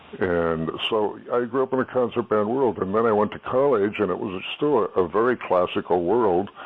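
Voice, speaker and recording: A man with an American accent speaks at a moderate pace with hardly any pauses. His pitch is fairly low with ordinary variation, and there is noticeable background noise. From southern California. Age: 70s. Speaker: jazz musician. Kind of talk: interview. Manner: halting.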